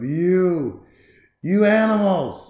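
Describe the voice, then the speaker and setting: A man does a put-on character voice, pitched high with lively intonation. There is slight echo on the recording. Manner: barking, mocking through megaphone.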